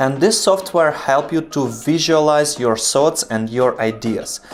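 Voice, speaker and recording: Over music in the background, a man with a non-native accent speaks at a fairly high pitch, using lively intonation at a fairly slow pace. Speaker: video production tutor. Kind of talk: tutorial. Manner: halting, pauses to find words.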